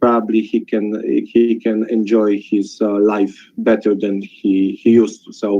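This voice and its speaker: A man with a non-native accent talks fairly slowly at a fairly low pitch. His intonation is monotone and flat, with big swings in loudness. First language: not English. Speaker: webinar participant sharing a testimonial. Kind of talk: testimony. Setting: webinar call. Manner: halting.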